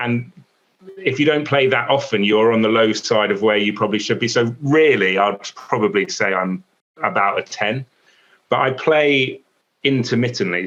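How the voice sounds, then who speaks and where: Lively intonation at a fairly quick pace, with an English accent. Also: man. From England. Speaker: sports broadcaster. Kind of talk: casual interview chat. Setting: video call. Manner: stutters, halting.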